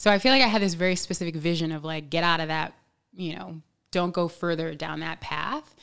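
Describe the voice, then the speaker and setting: In an American accent, a woman speaks in an ordinary speaking voice at a fairly quick pace, her pitch fairly low with ordinary variation, on a very clean recording with a silent background. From New York City. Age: 30s. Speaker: podcast guest. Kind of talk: casual chat.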